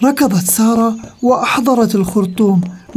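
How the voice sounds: Natural reading voice, its pitch varying in an ordinary way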